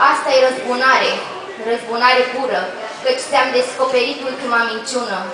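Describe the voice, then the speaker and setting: In a raised, projected voice, a woman speaks at a moderate pace with a high pitch and monotone, flat intonation, amid noticeable background noise and audible room echo. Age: young. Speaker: slam poet. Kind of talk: poetry performance. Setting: pub stage with audience.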